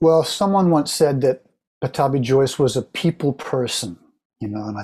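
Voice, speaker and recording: A man talks at a medium pitch and a moderate pace. His voice is somewhat breathy, with lively intonation. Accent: American. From Oklahoma, US. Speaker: yoga teacher. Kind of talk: interview conversation.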